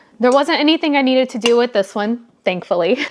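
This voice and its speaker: Very wide pitch swings run through this woman's speech. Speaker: craft vlogger. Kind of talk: casual vlog tutorial. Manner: soft-spoken, talking quietly.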